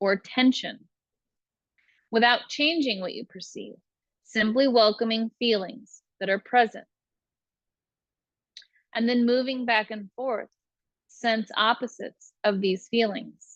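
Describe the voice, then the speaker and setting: A woman speaks very slowly in a gentle tone, fairly high in pitch with ordinary pitch variation, with long, frequent pauses and big swings in loudness, the sound dry and close with no echo. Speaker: meditation guide. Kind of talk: guided meditation.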